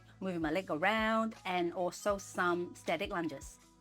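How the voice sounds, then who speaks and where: Music plays in the background as a woman talks. She speaks fairly slowly with ordinary pitch variation. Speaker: physiotherapist; singer. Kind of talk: educational talk to camera.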